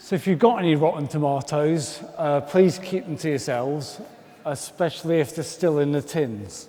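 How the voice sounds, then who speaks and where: A man with a Birmingham accent talks at a moderate pace and a fairly high pitch over noticeable background noise. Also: ordinary pitch variation. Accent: Birmingham (Brummie) English. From Birmingham, England. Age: 40s. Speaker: comedian. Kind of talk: stand-up.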